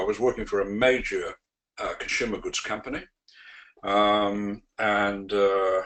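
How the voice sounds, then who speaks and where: With a British accent, a man talks fairly slowly in a fairly low pitch and a monotone, flat intonation. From UK. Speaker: sales trainer. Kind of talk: webinar presentation. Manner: hesitant, many fillers.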